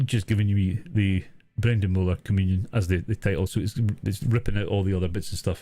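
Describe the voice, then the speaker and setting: On a very clean recording with a silent background, a man with a Scottish accent talks very fast in a fairly low, somewhat breathy voice with a dark, mellow tone and fairly even intonation. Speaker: streamer doing video editing tutorial. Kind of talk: live stream tutorial chat. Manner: halting, many fillers and repeats; casual.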